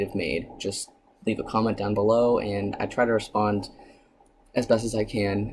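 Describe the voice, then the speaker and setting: A man at a medium pitch and moderate pace, with noticeable background noise. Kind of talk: casual vlog tutorial. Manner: many filler ums.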